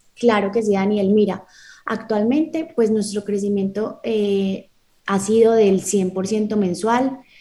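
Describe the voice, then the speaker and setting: A woman's somewhat breathy, dark, mellow voice at medium pitch, fairly even in intonation and very slow in pace. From Colombia, Medellín. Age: 20s. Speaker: lawyer and startup founder. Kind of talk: radio interview.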